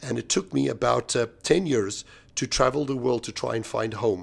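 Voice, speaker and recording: At a moderate pace, a man with a medium-pitched voice and vocal fry speaks on a very clean recording with a silent background. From South Africa. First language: Swahili. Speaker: real estate industry analyst and keynote speaker. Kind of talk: interview. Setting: hotel at a conference.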